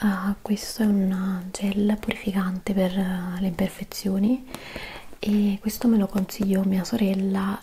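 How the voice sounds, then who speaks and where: A soft-spoken woman with a gentle tone, monotone and flat, at a very slow pace over light background noise. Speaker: beauty vlogger. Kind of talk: casual product review chat. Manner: soft-spoken, hushed, gentle ASMR voice. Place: home room.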